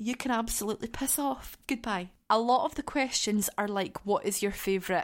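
A Scottish accent colors this woman's fairly high-pitched voice, which has lively intonation and a moderate pace. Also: very clean recording, silent background. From Scotland. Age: 20s. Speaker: podcast host, care worker with young people. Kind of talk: casual solo chat. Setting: home living room. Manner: animated.

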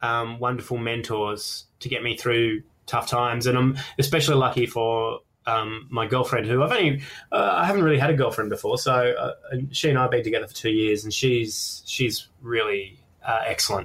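At a moderate pace, a man with an Australian accent speaks at medium pitch with ordinary pitch variation. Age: 30s. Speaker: comedian. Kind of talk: casual chat. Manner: halting.

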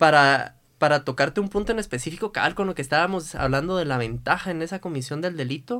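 Delivered at a very fast pace with hardly any pauses and ordinary pitch variation, the speech comes through a very clean recording with a silent background. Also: man, fairly high pitch for a man. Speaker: lawyer. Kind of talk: casual chat.

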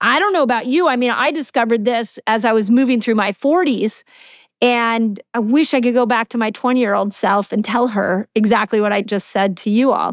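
With a normal speaking voice, a woman talks at a fairly quick pace and fairly high pitch, using ordinary pitch variation and very even loudness, in a very clean recording with a silent background and a dry, close sound with no echo. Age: 50s. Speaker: fasting expert and chiropractic doctor, author. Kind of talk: interview.

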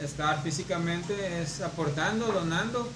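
Over noticeable background noise and audible room echo, a man with a high voice talks at a fairly slow pace. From Mexico, Culiacán, Sinaloa. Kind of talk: casual chat.

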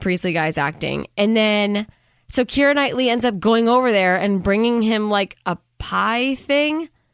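A woman with a plain, everyday voice speaks at a fairly high pitch and moderate pace with lively intonation, on a very clean recording with a silent background. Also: very even loudness. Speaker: podcast host. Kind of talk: casual chat.

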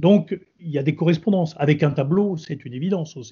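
A man speaks in a fairly high pitch, somewhat breathy. His intonation is lively. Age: 60s. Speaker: retired army general and wine expert. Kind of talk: interview.

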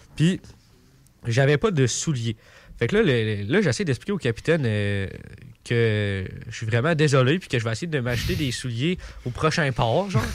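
A man's medium-pitched voice at a moderate pace, with lively intonation, long and frequent pauses, and a very clean recording over a silent background. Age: 20s. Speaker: sailor. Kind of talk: storytelling in radio chat. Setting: radio studio.

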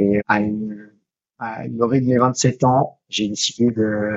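A man speaks with fairly even intonation. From Switzerland. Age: 30s. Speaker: ultra-trail runner and police investigator. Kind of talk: interview conversation. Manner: halting, many repetitions.

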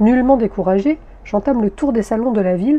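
A woman talks at a fairly quick pace in a fairly high pitch, with ordinary pitch variation. Her tone is dark and mellow, and somewhat breathy. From Paris region, France. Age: 50s. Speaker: podcast author and narrator. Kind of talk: scripted narration.

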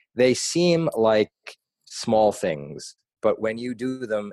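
Over a quiet background, a man with an American accent comes through in a dry, close sound with no echo. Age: 30s. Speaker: nonprofit founder and anti-bullying advocate. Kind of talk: interview.

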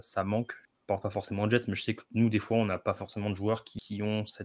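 The man's voice is fairly low and monotone, with flat intonation at a fairly quick pace. The recording is very clean, with a silent background. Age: 20s. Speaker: NFL fan podcaster. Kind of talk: casual chat.

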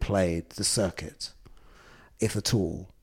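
On a very clean recording with a silent background, a man with a London accent speaks at a fairly low pitch with ordinary pitch variation. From London, Islington. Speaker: film producer. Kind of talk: interview. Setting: office boardroom.

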